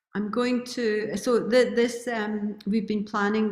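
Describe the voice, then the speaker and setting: A woman speaks at a very slow pace with a medium pitch. Her voice is somewhat breathy, with monotone, flat intonation. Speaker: retreat organizer. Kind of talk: welcome address.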